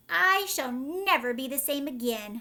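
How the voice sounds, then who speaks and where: Very wide pitch swings mark this put-on character voice, delivered at a moderate pace. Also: woman, high pitch for a woman. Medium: read story. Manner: gloomy, complaining.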